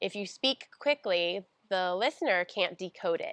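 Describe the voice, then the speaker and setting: With a General American accent, a woman speaks in an ordinary speaking voice at medium pitch and a moderate pace, with ordinary pitch variation, in a dry, close sound with no echo and a quiet background. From United States. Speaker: speech pathologist. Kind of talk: tutorial.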